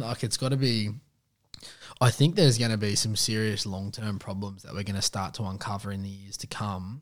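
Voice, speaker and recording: Speaking at a fairly quick pace with an Australian accent, a man with a fairly low pitch keeps a fairly even intonation on a very clean recording with a silent background. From Western Sydney, Australia. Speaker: podcast host. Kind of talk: casual interview.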